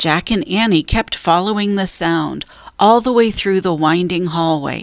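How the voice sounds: A natural reading voice moves along with ordinary pitch variation.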